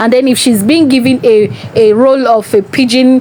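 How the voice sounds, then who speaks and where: Over noticeable background noise, a woman speaks at a moderate pace, fairly high in pitch, with fairly even intonation. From Nigeria. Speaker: entertainment vlogger. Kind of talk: casual monologue commentary.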